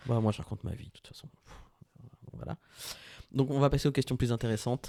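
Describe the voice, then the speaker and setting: Very fast speech from a man of medium pitch, dark and mellow in tone, with fairly even intonation, big swings in loudness, and a dry, close sound with no echo. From Brittany, France. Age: 40s. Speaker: podcast co-host. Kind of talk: casual chat.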